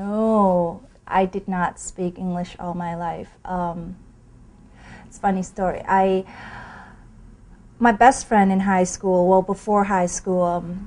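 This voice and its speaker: A woman with a Thai accent speaks very slowly in a medium pitch and a monotone, flat delivery. Her loudness swings widely, and she pauses long and often. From Thailand. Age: 20s. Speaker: pool player. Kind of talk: interview storytelling.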